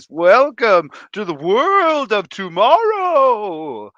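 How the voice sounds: Very slow, fairly high-pitched delivery in a put-on character voice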